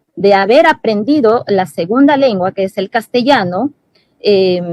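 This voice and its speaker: Her intonation lively, a woman speaks at a fairly high pitch. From Peruvian Amazon, Shipibo-Conibo community. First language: Shipibo-Conibo (speaking Spanish). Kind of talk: panel discussion. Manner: halting, many fillers and self-corrections.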